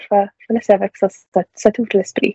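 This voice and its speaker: A woman speaks with an English accent at a fairly slow pace. Her intonation stays fairly even. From Prince Edward Island (Summerside). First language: English (speaking French). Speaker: university student. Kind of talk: casual interview.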